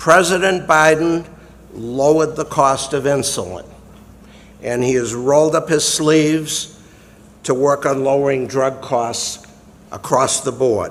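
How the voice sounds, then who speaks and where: A man with a Massachusetts accent at a fairly slow pace, with long, frequent pauses and ordinary pitch variation. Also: fairly high pitch for a man. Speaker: retired lawyer and Air Force veteran. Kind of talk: prepared speech introduction.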